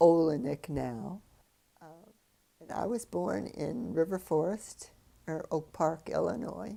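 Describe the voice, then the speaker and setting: A woman with an American accent, very deep and low in pitch, with vocal fry, a dark, mellow tone, very wide pitch swings, a very slow pace and long, frequent pauses. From US Midwest, Chicago area. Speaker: retired ballet dancer. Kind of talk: oral history interview. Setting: filmed interview. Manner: halting, with many fillers.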